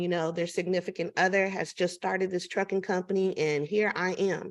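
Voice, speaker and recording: At a moderate pace, a woman with a normal speaking voice talks at medium pitch with fairly even intonation over a quiet background. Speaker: business consultant and networking event host. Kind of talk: online networking event facilitation.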